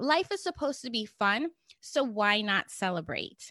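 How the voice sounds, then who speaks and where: A woman uses a raised, projected voice with a bright, sharp tone and very wide pitch swings. The sound is dry and close with no echo, over a quiet background. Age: 50s. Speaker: podcast host and online marketing coach. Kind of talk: solo podcast monologue. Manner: animated.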